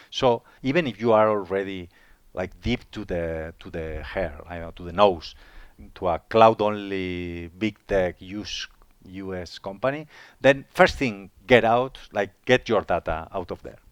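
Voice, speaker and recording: A man's fairly low voice at a fairly slow pace, ordinary pitch variation, big swings in loudness, in a very clean recording with a silent background. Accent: Spanish. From Spain. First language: Spanish. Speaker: IT manager. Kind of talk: interview. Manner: halting, frequent repetitions.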